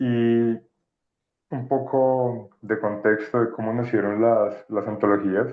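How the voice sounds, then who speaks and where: At a very slow pace, a man speaks in a monotone, flat delivery at medium pitch. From Colombia, Pacific coast. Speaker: anthology editor. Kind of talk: presentation.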